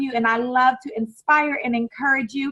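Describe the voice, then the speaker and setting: A woman's high, bright, sharp voice, raised and projected, animated in tone with ordinary pitch variation. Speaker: online summit host. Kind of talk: interview.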